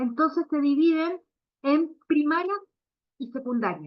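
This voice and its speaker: Speaking in a Chilean accent, a woman talks at a fairly slow pace with lively intonation. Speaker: veterinary cardiologist. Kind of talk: lecture. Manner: hesitant, many fillers.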